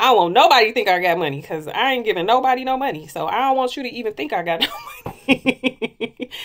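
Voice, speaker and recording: In an animated tone, a woman talks at a very fast pace with very wide pitch swings. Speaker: lifestyle vlogger. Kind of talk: casual monologue. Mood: candid, reflective. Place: home room. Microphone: phone near.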